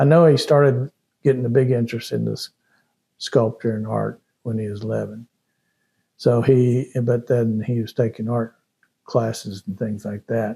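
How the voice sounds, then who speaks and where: With a Texan accent, a man speaks in a dark, mellow, somewhat breathy voice, keeping a fairly even intonation and taking long, frequent pauses. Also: medium pitch for a man, moderate pace. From Austin, Texas. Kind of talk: interview answer. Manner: hesitant, conversational.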